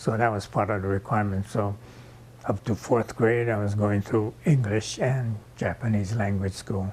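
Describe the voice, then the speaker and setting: Somewhat breathy, a man with a Hawaiian accent talks at a moderate pace, fairly low in pitch with fairly even intonation. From Hawaii, Kauai. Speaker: oral history interviewee. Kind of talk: oral history testimony.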